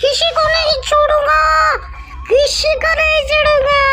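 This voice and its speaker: A female-sounding cartoonish character voice speaks at an extremely high pitch and a very slow pace. Clear music plays in the background. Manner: threatening.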